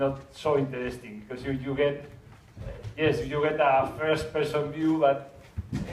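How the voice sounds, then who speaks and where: Speaking at a moderate pace, a man with a Spanish accent uses a fairly high pitch. Room echo is audible. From Spain. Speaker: 360 video filmmaker. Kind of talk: conference talk. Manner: halting, many repetitions and fillers.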